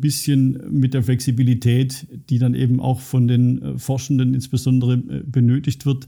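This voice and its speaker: Monotone and flat, a man at medium pitch speaks at a moderate pace with very even loudness, his dark, mellow voice somewhat breathy. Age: 50s. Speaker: IT director and computer science professor. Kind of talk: interview. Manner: hesitant with fillers.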